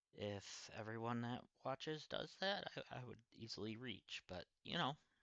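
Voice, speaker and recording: Lively intonation at a moderate pace in a man's medium-pitched voice. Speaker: gaming streamer. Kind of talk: live gameplay stream chat. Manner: quieter than usual, subdued.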